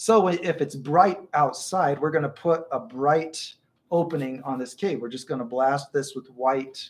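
With ordinary pitch variation, a man speaks. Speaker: art teacher. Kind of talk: live stream tutorial chat. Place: home room. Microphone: earbuds.

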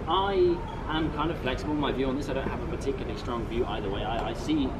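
Loud background noise sits behind a man speaking very fast. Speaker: street art tour guide. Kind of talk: tour guide explanation. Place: street. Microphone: camera far.

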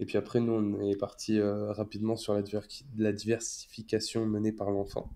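In a fairly low pitch with a dark, mellow tone, a man speaks at a fairly slow pace with monotone, flat intonation, hardly any pauses and very even loudness. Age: 20s. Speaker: stay-at-home father. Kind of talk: casual interview. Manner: hesitant, many fillers.

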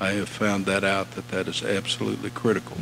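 Through noticeable background noise, a man speaks at a moderate pace with a fairly low pitch. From US Midwest. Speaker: railroad executive. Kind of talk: speech. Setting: stage with audience.

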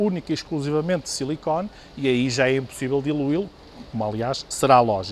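Over light background noise, a man talks at a fairly quick pace and fairly high pitch with ordinary pitch variation. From Portugal. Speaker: product representative. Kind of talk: product demonstration. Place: shop. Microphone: lapel.

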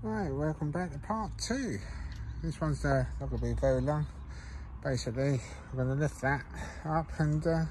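A man talks at a fairly quick pace over light background noise, the sound dry with no echo. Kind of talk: casual tutorial commentary. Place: garden. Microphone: phone near.

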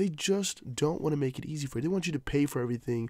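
A somewhat breathy voice races along at a very fast pace with very wide pitch swings, captured in a very clean recording with a silent background. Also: man. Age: young. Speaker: crypto news youtuber. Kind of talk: casual vlog commentary.

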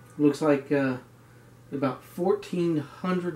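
Audible room echo surrounds a man's voice. His tone is dark and mellow, and his intonation is fairly even. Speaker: home bartender vlogger. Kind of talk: casual vlog chat. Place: home room. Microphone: camera far.

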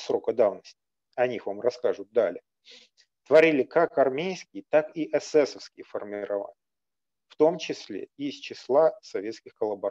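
With only a quiet background, a man talks at a moderate pace. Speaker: historian. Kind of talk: lecture. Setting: video call. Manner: formal. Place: home room. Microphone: webcam.

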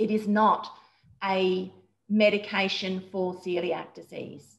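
Against a quiet background, a woman with an Australian accent speaks at medium pitch in a monotone, flat, somewhat breathy voice. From Queensland, Australia. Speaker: dietitian; guest. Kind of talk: interview. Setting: video call. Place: home room. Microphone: video call.

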